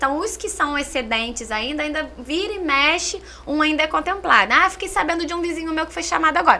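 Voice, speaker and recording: A woman with a Minas Gerais accent talks at a fairly quick pace with hardly any pauses, her pitch extremely high. Her voice is raised and projected, her intonation lively, with noticeable background noise. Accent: Minas Gerais (mineiro). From Minas Gerais, Brazil. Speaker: social services coordinator. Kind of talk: podcast interview. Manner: talkative.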